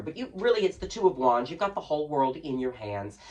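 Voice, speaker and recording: Noticeable background noise sits under very fast talking. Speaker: drag queen tarot reader. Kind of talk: tarot reading to camera. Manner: playful, theatrical.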